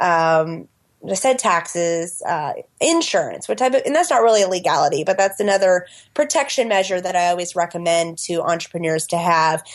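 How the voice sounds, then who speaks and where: An American accent at a fairly quick pace. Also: woman, medium pitch for a woman, ordinary pitch variation, very even loudness. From United States. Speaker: business lawyer and entrepreneur. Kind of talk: podcast interview. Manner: hesitant fillers.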